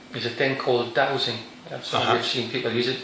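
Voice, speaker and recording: Noticeable background noise runs behind this clip. A man talks very fast in a medium-pitched voice. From North East England. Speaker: psychic medium. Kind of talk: interview answer.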